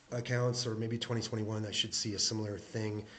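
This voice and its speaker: A man at medium pitch speaks very fast, with audible room echo. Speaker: shareholder commentator. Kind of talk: screen-share tutorial. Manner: halting, many fillers.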